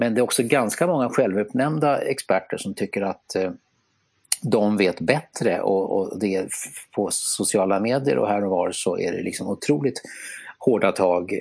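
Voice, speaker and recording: A man with a normal speaking voice and fairly low pitch talks at a moderate pace with lively intonation. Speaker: podcast co-host. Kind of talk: casual chat. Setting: remote online recording. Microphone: simple earphones headset instead of studio mic.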